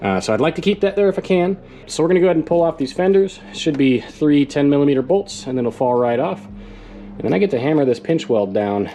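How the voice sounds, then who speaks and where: A very fast male voice, fairly high in pitch, with very wide pitch swings, hardly any pauses, and music in the background. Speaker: DIY truck modification youtuber. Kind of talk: tutorial. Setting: outdoors. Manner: animated.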